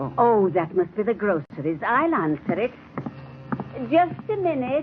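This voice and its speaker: Over noticeable background noise, a woman talks at a fairly slow pace with very wide swings in pitch. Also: medium pitch for a woman. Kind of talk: old-time radio drama.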